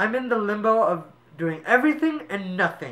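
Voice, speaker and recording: A man talks at a moderate pace. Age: 20s. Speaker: spoken word poet. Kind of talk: spoken word poetry. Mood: reflective, earnest. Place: home room. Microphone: camera far.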